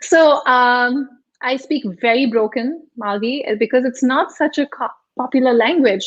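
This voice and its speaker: This woman's voice sits high in pitch and shows ordinary pitch variation. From India, Mumbai. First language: Hindi / Marathi. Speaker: health and wellness coach. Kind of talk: interview. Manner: halting.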